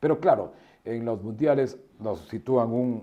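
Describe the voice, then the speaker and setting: A man with a dark, mellow tone talks at medium pitch and a fairly slow pace. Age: 70s. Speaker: veteran sports broadcaster. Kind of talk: interview.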